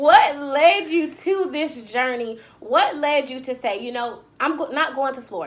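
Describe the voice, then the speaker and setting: High-pitched female speech, fairly slow, with lively intonation, big swings in loudness and noticeable background noise. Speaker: author and podcaster. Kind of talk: podcast interview.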